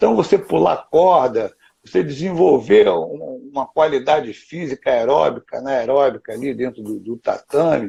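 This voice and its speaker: Speaking at a fairly slow pace, a man with a medium-pitched, dark, mellow voice shows vocal fry and lively intonation. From Rio de Janeiro, Brazil. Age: 60s. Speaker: jiu-jitsu grandmaster. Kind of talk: interview. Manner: animated.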